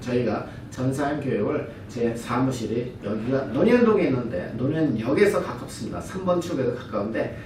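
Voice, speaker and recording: Amid noticeable background noise and audible room echo, a man speaks at a medium pitch and moderate pace with lively intonation. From lived abroad long. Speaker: brand partner giving business presentation. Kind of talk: business presentation lecture. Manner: halting, self-correcting.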